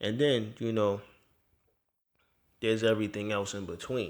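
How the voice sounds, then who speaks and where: At a moderate pace and fairly low pitch, a man talks in an ordinary speaking voice in a very clean recording with a silent background. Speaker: rapper and podcast host. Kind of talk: podcast monologue giving money and saving advice. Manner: casual, conversational.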